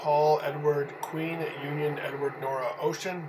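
Flat, monotone delivery over noticeable background noise. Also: man. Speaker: 911 dispatch trainer. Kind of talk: dictation of names and dates using phonetic alphabet, radio dispatch style. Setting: recorded tutorial for typing practice. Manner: even, clipped, steady reading pace.

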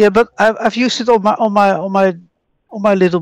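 A woman speaks in a plain, everyday voice at a medium pitch and a fairly quick pace, with fairly even intonation and a dry, close sound with no echo. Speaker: scambaiter. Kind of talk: prank phone call with a scammer. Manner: confrontational.

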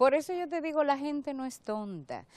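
Her pitch swinging very widely, a woman speaks at a fairly slow pace in a dry recording with no echo. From Dominican Republic. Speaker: government agency director; public guest. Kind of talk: TV interview; interview answer. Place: studio. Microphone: lapel.

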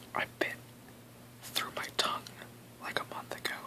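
Someone whispers in a soft-spoken way at a moderate pace. Noticeable background noise runs behind the voice. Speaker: vlogger. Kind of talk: casual vlog chat. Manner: soft whispered explanation. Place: home room. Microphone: webcam.

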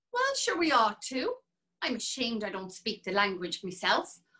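A woman's put-on character voice, fairly high in pitch, bright and sharp with a slightly husky edge, very wide pitch swings and a moderate pace

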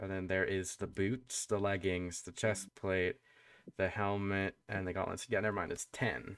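Fairly even intonation marks a man with a fairly low pitch. He keeps to a moderate pace. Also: dry, close sound with no echo. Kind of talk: tabletop roleplay session. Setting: voice call with players. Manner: casual, halting.

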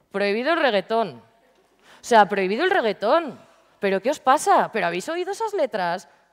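A woman's animated, fairly high voice at a fairly quick pace, with very wide pitch swings, over a quiet background. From Valladolid, Spain; Spain. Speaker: DJ and entrepreneur; speaker. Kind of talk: talk to schoolchildren. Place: hall.

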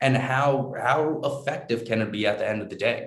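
In an American accent, a somewhat breathy man speaks at a moderate pace with ordinary pitch variation, and the room echo is audible. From US Northeast, New York; US Northeast. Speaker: edtech company founder and CEO; guest. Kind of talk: interview. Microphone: video call.

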